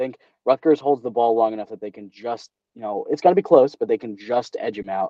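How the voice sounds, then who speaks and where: A man with an American accent in a normal speaking voice, fairly quick and with lively intonation. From New Jersey. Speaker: sports podcast host. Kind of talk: casual chat. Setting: video call.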